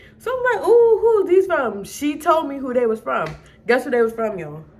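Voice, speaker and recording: With very wide pitch swings, a woman speaks in an American accent over noticeable background noise. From Maryland. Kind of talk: casual storytime to camera.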